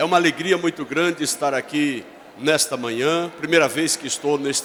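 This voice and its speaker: There is noticeable background noise as a man speaks. His pitch is fairly high, his intonation fairly even. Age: 60s. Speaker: pastor. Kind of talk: church greeting speech. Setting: church service.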